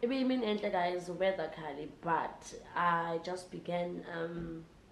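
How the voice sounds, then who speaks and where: In a South African accent, a woman with a fairly low voice speaks fairly slowly with ordinary pitch variation, amid noticeable background noise and audible room echo. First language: Xhosa. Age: 20s. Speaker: vlogger. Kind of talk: casual vlog talk to camera.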